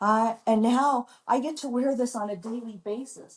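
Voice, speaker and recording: Ordinary pitch variation in a woman's fairly high, somewhat breathy voice. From US Midwest, Chicago. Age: 60s. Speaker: doctor and model. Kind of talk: interview.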